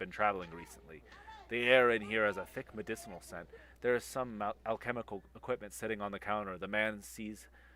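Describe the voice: The intonation is fairly even throughout. The delivery is plain reading aloud.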